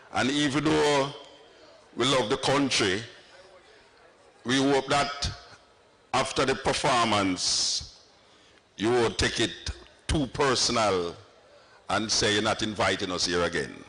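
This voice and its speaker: Speech in a Jamaican accent at a fairly slow pace, with very even loudness, long, frequent pauses and noticeable background noise. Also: man, medium pitch for a man, lively intonation. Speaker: dub poet. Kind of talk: stage address to live audience.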